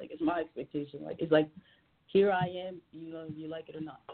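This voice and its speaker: A woman with a very deep, low pitch talks at a very fast pace. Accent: American. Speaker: singer and rapper. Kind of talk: interview. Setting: phone call.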